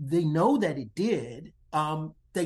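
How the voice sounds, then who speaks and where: In an American accent, the voice sounds somewhat breathy and carries lively intonation. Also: man. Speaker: social psychologist and diversity consultant. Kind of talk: interview.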